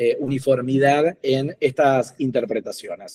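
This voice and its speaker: At a fairly slow pace, a man speaks in a medium-pitched voice, with a dry, close sound and no echo. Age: 40s. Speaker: doctoral candidate. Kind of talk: thesis defense presentation. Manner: hesitant with fillers.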